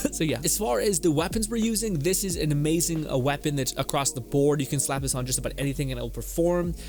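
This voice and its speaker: A man at a very fast pace, hardly any pauses, with music in the background. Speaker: gaming YouTuber. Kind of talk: gameplay build guide tutorial. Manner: filler-heavy, casual.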